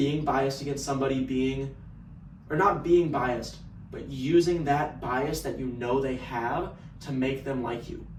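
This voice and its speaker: A man with an American accent and medium pitch speaks at a moderate pace with fairly even intonation, amid noticeable background noise and audible room echo. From Texas. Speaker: sales business owner. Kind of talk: casual vlog monologue.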